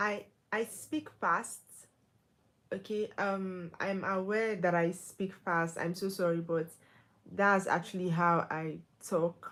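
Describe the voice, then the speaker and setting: A woman at a very slow pace, medium-pitched, with fairly even intonation and long, frequent pauses. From Nigeria. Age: 20s. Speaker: livestreamer. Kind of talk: casual live stream chat. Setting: live stream. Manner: loud.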